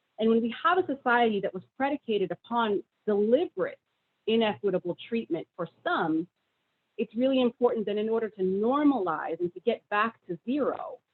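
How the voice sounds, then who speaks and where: A woman speaks at a fairly high pitch, her voice swinging very widely up and down. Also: fairly quick pace. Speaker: state government official, presenter. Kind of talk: presentation. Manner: fast.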